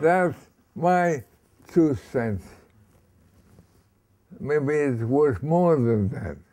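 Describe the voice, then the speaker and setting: A man's fairly high voice with a dark, mellow tone, a very slow pace, and long, frequent pauses over a quiet background. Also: lively intonation. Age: 80s+. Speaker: actor. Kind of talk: interview answer. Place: home room.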